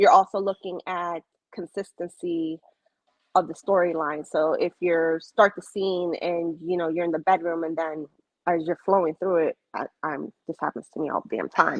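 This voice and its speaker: A woman speaks in a fairly low, monotone voice with flat intonation. The sound is dry and close, with no echo. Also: moderate pace. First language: Spanish. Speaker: romance author. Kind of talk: casual interview. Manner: halting, many fillers.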